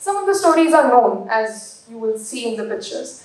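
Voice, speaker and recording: A woman speaks at a fairly quick pace, with noticeable background noise and audible room echo. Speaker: book editor. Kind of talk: speech at book launch.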